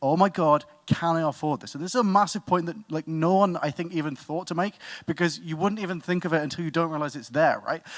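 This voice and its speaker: On a very clean recording with a silent background, a man with a British accent talks at a fairly quick pace with a high pitch. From Britain. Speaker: student debater. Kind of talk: competitive debate speech.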